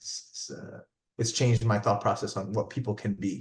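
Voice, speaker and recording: A somewhat breathy man with a New Jersey accent, talking at a fairly quick pace. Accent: American, New Jersey. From New Jersey, US. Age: 30s. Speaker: physician. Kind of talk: interview testimony. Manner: animated, repetitive false starts.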